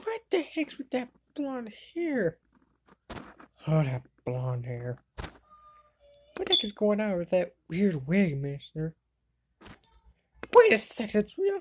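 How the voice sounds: A woman uses a cartoonish character voice at medium pitch with a slightly husky edge and very wide pitch swings. She speaks at a slow pace with long, frequent pauses.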